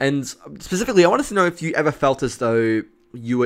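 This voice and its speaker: With lively intonation, a man talks fairly quickly in a plain, everyday voice. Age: 20s. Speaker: podcast host and streamer. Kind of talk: casual chat. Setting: live stream.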